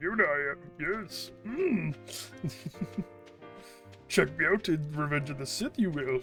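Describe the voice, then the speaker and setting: A man's put-on character voice, fairly high in pitch and fairly slow, with clear music in the background. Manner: wise, cryptic, inverted syntax.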